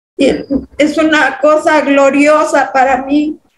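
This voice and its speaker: Audible room echo surrounds a woman who talks at a very slow pace in a monotone, flat intonation. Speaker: hypnosis client. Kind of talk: emotional testimony. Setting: video call. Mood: earnest, emotional. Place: home room. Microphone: video call.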